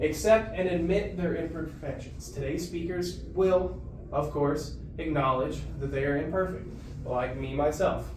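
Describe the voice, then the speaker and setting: Fairly slow-paced man's voice with noticeable background noise and audible room echo. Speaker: student presenter. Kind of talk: class presentation.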